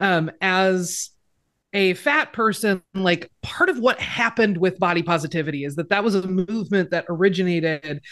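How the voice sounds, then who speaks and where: Moderate pace, medium pitch and ordinary pitch variation from a woman with a normal speaking voice. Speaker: writer, podcaster and activist. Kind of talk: casual interview chat.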